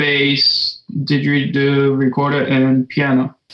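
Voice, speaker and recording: This is a man speaking. His pitch is fairly high. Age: young. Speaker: composer and saxophonist. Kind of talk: interview. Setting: video call.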